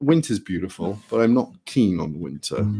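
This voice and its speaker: This man's intonation is lively. He keeps to a moderate pace. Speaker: travelling folk singer-songwriter. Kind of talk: casual chat between songs at a live performance. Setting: live stream performance, solo at home. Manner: hesitant, many fillers.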